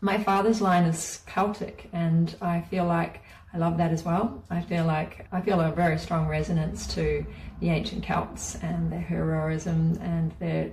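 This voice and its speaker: Amid noticeable background noise and audible room echo, a woman with a New Zealand accent speaks at a fairly slow pace. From New Zealand, rural Māori community. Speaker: spiritual teacher. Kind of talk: guided course talk.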